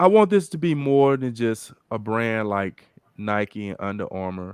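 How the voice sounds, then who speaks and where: In an ordinary speaking voice, a man of medium pitch talks at a fairly slow pace with lively intonation and big swings in loudness against a quiet background. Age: 50s. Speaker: fitness brand founder and talk show host. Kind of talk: casual chat.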